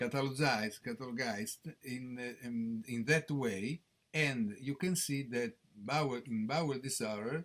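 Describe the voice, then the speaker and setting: A man speaks with an Italian accent at a medium pitch. His pace is fairly slow and his intonation lively. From Italy, Rome. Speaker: professor of gastroenterology. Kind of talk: conference lecture. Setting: conference stage with audience. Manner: halting, many hesitations.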